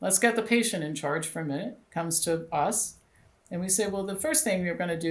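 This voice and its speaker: This is a woman with an ordinary speaking voice, pitched fairly low. She speaks at a fairly quick pace with ordinary pitch variation. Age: 60s. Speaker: doctor and health clinic founder. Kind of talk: interview.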